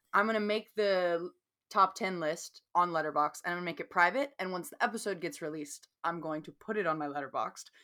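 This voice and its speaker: A woman's fairly low voice with a bright, sharp tone, at a fairly quick pace, with ordinary pitch variation, on a very clean recording with a silent background. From US South. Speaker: podcast co-host. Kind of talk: casual chat.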